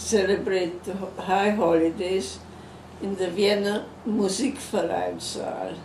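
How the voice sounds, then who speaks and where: A medium-pitched woman's voice at a very slow pace, with noticeable background noise. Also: fairly even intonation. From Czech Republic. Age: 80s+. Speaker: Holocaust survivor. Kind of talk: interview answer.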